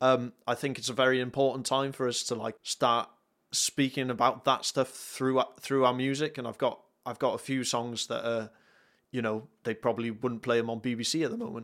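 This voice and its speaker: Speaking with a North Welsh accent, a man talks at a fairly quick pace at medium pitch. His intonation stays fairly even on a very clean recording with a silent background. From North Wales. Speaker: worship musician. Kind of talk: casual chat.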